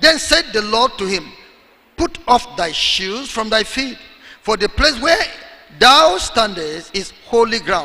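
A man speaks in a raised, projected voice. His intonation is lively. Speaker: preacher. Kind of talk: sermon. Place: hall. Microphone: handheld.

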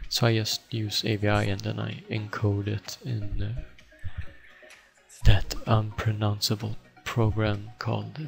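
With a Swedish accent, a man speaks in a deadpan tone at a fairly slow pace. Long, frequent pauses break up his speech, and music plays in the background. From Sweden. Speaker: gaming video editor. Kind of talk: software tutorial. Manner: flat, deadpan.

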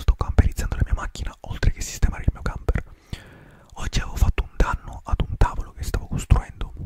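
Whispering at a very fast pace, a man rushes through his words. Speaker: ASMR creator. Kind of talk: ASMR whispered talk to camera. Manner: whispered, soft, relaxing. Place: home room. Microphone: studio mic.

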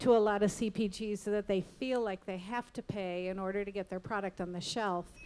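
With an American accent, a woman talks at a moderate pace with fairly even intonation. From US Midwest, Illinois. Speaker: retail media executive; guest. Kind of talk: panel discussion. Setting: stage with audience. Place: stage. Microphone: handheld.

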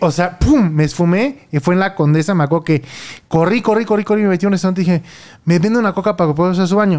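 Pitched high, a man talks at a very fast pace with a Mexican accent. His pitch variation is ordinary. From Mexico. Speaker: podcast host. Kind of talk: casual chat. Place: home room. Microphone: studio mic.

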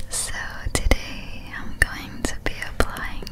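A woman's whisper moves along very slowly. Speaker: ASMR artist. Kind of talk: ASMR makeup roleplay, casual talk to camera. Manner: soft-spoken, whispered. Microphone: studio mic.

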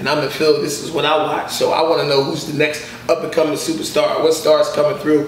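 A man talks at a very fast pace in a flat monotone. Audible room echo and light background noise are present. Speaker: comedian guest. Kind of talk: interview answer. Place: home room. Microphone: camera far.

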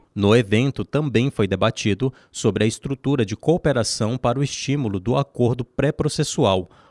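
Hardly pausing at all, a man talks with ordinary pitch variation in an unremarkable speaking voice. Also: medium pitch for a man, moderate pace, dry, close sound with no echo. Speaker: news reporter. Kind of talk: scripted narration.

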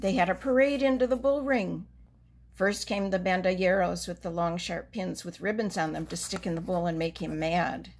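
A woman speaks at a moderate pace in a medium pitch. Her intonation is lively. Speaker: reader of a children's book. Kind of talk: children's storybook reading aloud. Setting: video read-aloud for children. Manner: gentle, warm, expressive storyteller's pacing; animated, with dramatic emphasis on key story moments. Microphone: phone near.

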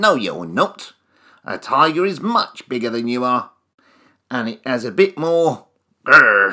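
Putting on a character voice, a man at medium pitch speaks at a fairly slow pace with long, frequent pauses. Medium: read story. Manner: skeptical, matter-of-fact.

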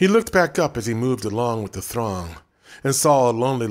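Lively intonation marks a natural reading voice against a quiet background.

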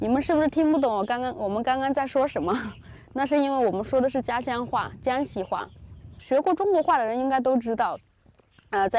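A woman talks with a high pitch, lively intonation and a fairly quick pace, with a dry sound and no echo. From rural China. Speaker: Chinese teaching vlogger. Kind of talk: casual vlog narration. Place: open country. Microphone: phone near.

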